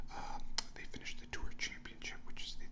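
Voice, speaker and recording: A man whispers in an American accent against noticeable background noise. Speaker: ASMR artist. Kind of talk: ASMR golf news ramble. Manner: whispered.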